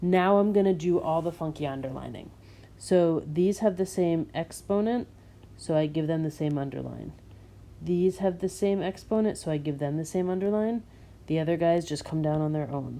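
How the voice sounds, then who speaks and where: Spoken at a moderate pace, this dark, mellow tone shows ordinary pitch variation. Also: woman. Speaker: math teacher. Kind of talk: tutorial. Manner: animated.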